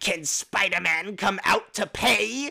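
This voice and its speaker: In a put-on character voice, someone shouts shrilly at a fairly slow pace. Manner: yelling, shrill, taunting.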